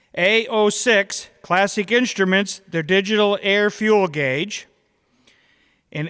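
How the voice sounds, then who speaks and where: A loud man speaks at a fairly slow pace with fairly even intonation and a bright, sharp tone. The recording is very clean, with a silent background. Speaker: awards presenter. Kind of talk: awards ceremony announcement.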